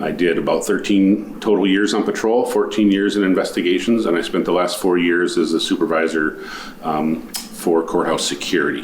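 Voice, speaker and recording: A man with an Upper Midwest accent at a moderate pace, amid noticeable background noise and audible room echo. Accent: Upper Midwest American. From Minnesota. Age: 50s. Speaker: county commissioner candidate, retired sheriff's deputy. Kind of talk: candidate interview statement. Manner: hesitant, with many fillers.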